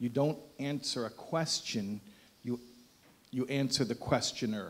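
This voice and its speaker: With an American accent, a man speaks in fairly even intonation. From United States. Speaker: rabbi, guest speaker. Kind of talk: speech to audience with humor. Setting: event hall with live audience.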